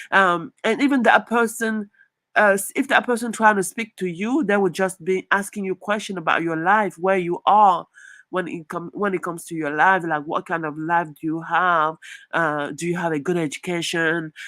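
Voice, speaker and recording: Speaking with a French accent, a woman uses a medium pitch, ordinary pitch variation and a moderate pace, her tone animated, bright and sharp. The very clean recording has a silent background and a dry, close sound with no echo. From southern Nigeria. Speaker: YouTuber. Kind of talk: live stream commentary. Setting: live stream. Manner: halting with fillers.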